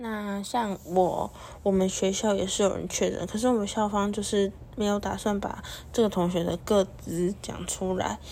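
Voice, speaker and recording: Monotone, flat intonation from a woman at medium pitch and a moderate pace, with noticeable background noise. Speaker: podcast host. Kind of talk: casual solo podcast talk.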